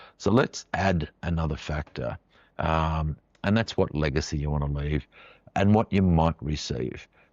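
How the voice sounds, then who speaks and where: A man with an Australian accent speaks in a very deep, low voice. His pace is fairly slow, with ordinary pitch variation. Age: 60s. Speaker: financial adviser, podcast host. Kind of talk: podcast explainer monologue. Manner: casual, with frequent fillers.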